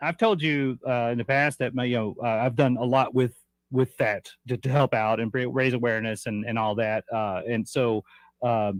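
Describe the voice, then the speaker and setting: Against a quiet background, a man of medium pitch speaks with fairly even intonation in a dry, close sound with no echo. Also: moderate pace. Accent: Arkansas. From Arkansas. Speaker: TV host. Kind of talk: casual chat.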